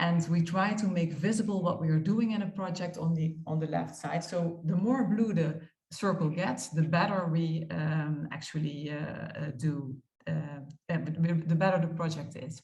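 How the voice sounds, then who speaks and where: A woman with a Dutch accent, fairly low pitch, ordinary pitch variation and moderate pace, with music in the background and audible room echo. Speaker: architect. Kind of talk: conference talk. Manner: halting, many fillers.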